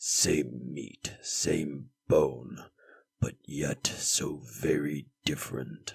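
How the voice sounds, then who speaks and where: In a put-on character voice, a man speaks very slowly at a very deep, low pitch with a monotone, flat intonation. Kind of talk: dark epic narration. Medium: machinima. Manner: grave, measured.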